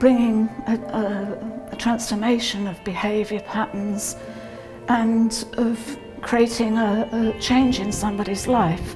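At a very slow pace and a fairly high pitch, a woman speaks with monotone, flat intonation over clear music in the background. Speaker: yoga instructor. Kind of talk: interview answer. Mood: calm, thoughtful. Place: hall.

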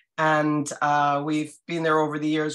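A woman with a very deep, low pitch speaks at a moderate pace. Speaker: castle restorer and owner; guest. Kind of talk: guest presentation. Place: home room. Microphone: video call.

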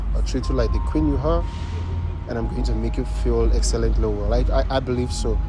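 A man at a moderate pace, dry sound with no echo, and music in the background. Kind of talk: casual flirting chat. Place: garden.

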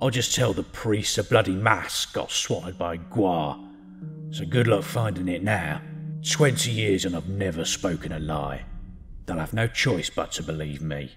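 Clear music plays in the background as a man speaks at a moderate pace. His very deep, low pitch makes very wide swings. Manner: bitter, resentful, scheming.

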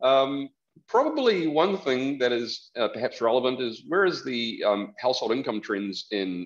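A man with a New Zealand accent speaks at a moderate pace with very wide pitch swings. The background is quiet. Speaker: economist; presenter. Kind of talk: presentation. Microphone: video call.

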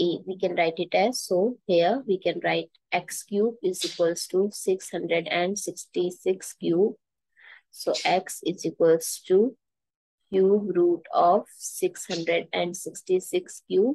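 A woman talks at a very slow pace. The sound is dry with no echo, and the background is quiet. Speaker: math teacher. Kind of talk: tutorial. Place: home room. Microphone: headset.

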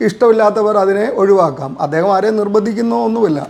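Pitched high for a man, his voice moves with ordinary pitch variation. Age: 40s. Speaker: soldier and poet reviewing a book. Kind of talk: video testimonial.

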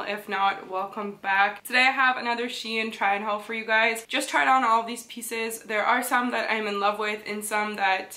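Speaking with a Canadian accent, a woman keeps a fairly high pitch and fairly even intonation at a moderate pace with hardly any pauses. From Canada. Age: 20s. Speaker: fashion vlogger. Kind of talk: casual talk to camera. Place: home room.

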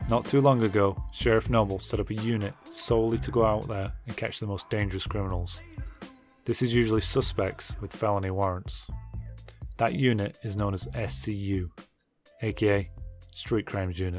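Over music in the background, a man uses a raspy, put-on character voice at a fairly low pitch and a moderate pace. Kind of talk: crime documentary narration. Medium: game stream. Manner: serious, steady, ominous.

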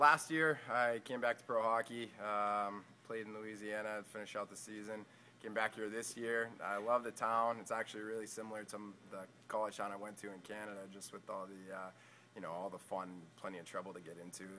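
With a Boston accent, the speaker goes at a fairly quick pace with fairly even intonation and big swings in loudness. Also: man, fairly low pitch for a man. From Boston area, US. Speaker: pro ice hockey player. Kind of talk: casual interview.

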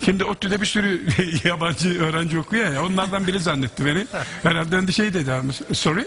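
There is light background noise behind a man with a high pitch. He talks at a fairly quick pace with ordinary pitch variation. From Aegean region of Turkey. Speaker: musician. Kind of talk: anecdote in conversation. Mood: amused, smiling. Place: stage. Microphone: headset.

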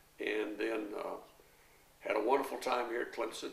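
Audible room echo surrounds a man as he talks. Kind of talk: interview answer. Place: home room.

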